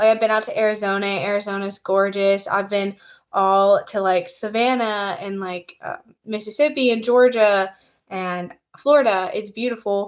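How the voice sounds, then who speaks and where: An ordinary speaking voice from a woman with an American accent, medium in pitch with ordinary variation, at a fairly slow pace on a very clean recording with a silent background. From US South. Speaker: content creator. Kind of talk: casual livestream chat. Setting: livestream.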